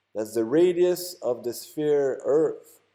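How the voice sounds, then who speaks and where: With a French Canadian accent, a man speaks in a dark, mellow tone. His pitch swings very widely. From Quebec. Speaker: YouTuber. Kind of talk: tutorial. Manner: halting.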